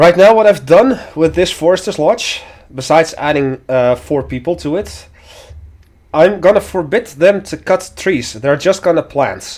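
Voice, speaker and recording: Pitched high, a man with a slight Dutch accent speaks fairly slowly with lively intonation. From Netherlands. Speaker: video game streamer. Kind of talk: let's play commentary.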